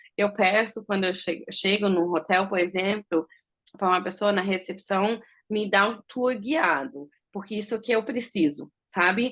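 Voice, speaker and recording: Against a quiet background, a woman with an ordinary speaking voice talks at medium pitch and a moderate pace. Her pitch variation is ordinary, but her loudness swings widely. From Germany, Brazilian mother from Bahia. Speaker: visually impaired traveler interviewed about accessibility. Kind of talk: interview conversation.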